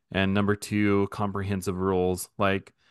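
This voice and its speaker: Over a quiet background, a man with an unremarkable speaking voice talks at a moderate pace and a fairly low pitch. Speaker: podcast host. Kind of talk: casual chat.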